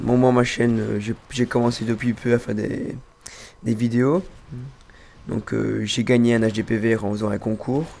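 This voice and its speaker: A man's medium-pitched voice with a slight Belgian accent, fairly slow and fairly even in intonation, with long, frequent pauses. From Belgium. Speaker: gamer. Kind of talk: casual chat. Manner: halting.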